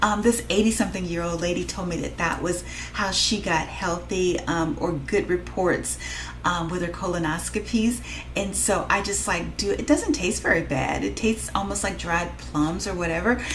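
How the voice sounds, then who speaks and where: There is noticeable background noise in this clip. A woman speaks at a moderate pace. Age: 50s. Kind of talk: casual talk to camera. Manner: rambling, hesitant.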